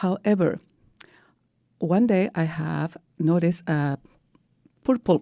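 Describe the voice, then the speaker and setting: A woman with a Peruvian accent speaks in a dark, mellow tone with lively intonation. The recording is very clean, with a silent background. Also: dry, close sound with no echo. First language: Spanish. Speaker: breast cancer survivor, teacher. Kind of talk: interview.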